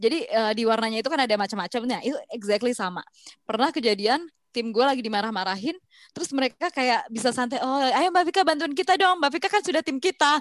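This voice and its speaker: The voice races along at a very fast pace, its pitch swinging very widely. The sound is dry and close, with no echo. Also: woman, high pitch for a woman. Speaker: podcast co-host, sales professional. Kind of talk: casual chat.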